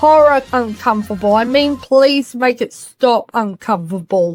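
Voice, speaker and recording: A woman's pitch swings very widely as she talks at moderate speed with music in the background. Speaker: movie reviewer. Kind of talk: comedic review narration. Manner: sarcastic.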